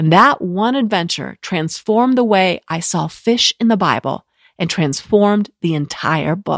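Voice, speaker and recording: On a very clean recording with a silent background, a woman with an ordinary speaking voice talks at a moderate pace with lively intonation and a dry, close sound with no echo. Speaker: podcast host. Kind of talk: scripted intro mixed with casual interview.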